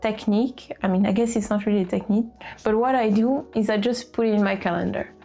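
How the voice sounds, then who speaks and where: A fairly high-pitched woman with a French accent, music in the background. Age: 20s. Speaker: lifestyle vlogger. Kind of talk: casual planning vlog talk.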